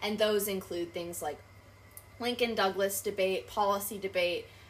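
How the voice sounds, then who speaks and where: A woman's normal speaking voice, medium in pitch, with fairly even intonation and a moderate pace. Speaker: debate accessibility advocate, student. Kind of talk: casual interview.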